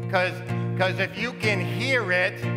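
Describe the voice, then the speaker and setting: Very slow speech over clear music in the background. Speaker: preacher. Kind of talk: sermon exhortation. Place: church.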